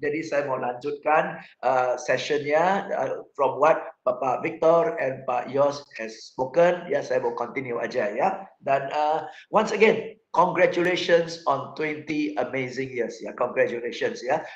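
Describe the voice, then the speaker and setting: A fairly high-pitched man's voice at a very slow pace with hardly any pauses and ordinary pitch variation. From Singapore. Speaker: motivational speaker. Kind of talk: motivational talk. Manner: code-switching Indonesian and English.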